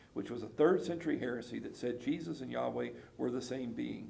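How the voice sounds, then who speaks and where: A man speaks at a very fast pace with a Southern US accent. Audible room echo surrounds his voice. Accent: Southern US (Georgia). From US South, South Georgia. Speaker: pastor. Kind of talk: casual chat.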